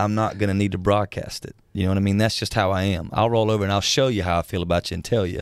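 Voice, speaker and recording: A man with a Southern US accent talks very fast in a fairly low voice. His intonation is fairly even, on a very clean recording with a silent background. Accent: Southern US (Georgia). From US South, South Georgia. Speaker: country musician. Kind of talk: casual interview chat. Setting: studio.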